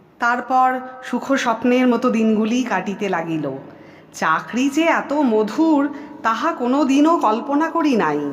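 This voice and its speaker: A woman speaks in a high pitch with very wide pitch swings. Noticeable background noise is present. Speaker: audiobook narrator. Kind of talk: audiobook short story reading.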